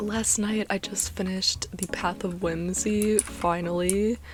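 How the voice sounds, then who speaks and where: A woman speaks quietly. Noticeable background noise sits behind her. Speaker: gaming YouTuber. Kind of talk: casual gameplay commentary. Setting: at home, early morning. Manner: quiet, keeping voice down; rambling, chatty.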